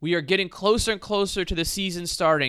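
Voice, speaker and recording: Speaking at a fairly quick pace, the voice is animated, with a bright, sharp tone. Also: man. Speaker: podcast host. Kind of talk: casual chat. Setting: headphones, remote recording. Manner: joking, animated.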